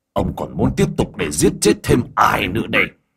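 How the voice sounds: In a put-on character voice, a man speaks at a moderate pace with a fairly low pitch, a fairly bright tone, vocal fry, a husky, rough edge and very wide pitch swings.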